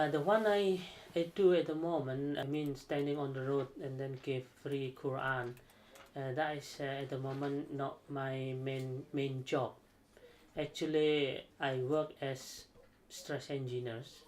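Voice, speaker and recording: Speaking with an Indonesian accent, a man keeps a fairly slow pace and fairly even intonation. His pitch is fairly high. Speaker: aerospace engineer. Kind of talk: interview. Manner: halting.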